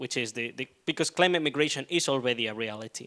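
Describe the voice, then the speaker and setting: A man with a Spanish accent, on a very clean, dry, close recording with a silent background and no echo. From southern Spain. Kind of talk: panel debate answer. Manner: hesitant, many fillers.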